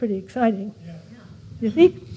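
Somewhat breathy, a woman speaks at a moderate pace with lively intonation. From California. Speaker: preacher. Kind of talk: sermon. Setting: church. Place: church. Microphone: lapel.

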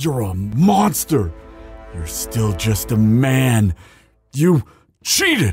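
Putting on a character voice, a man at medium pitch speaks at a very slow pace with long, frequent pauses and very wide pitch swings while faint music plays in the background. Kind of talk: audio roleplay. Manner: desperate.

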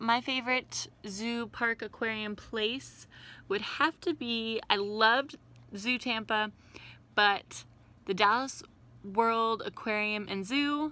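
Bright and sharp in tone, a woman speaks at a very slow pace with fairly even intonation. The sound is dry, with no echo. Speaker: science vlogger. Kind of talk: casual vlog chat. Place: home room. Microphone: phone near.

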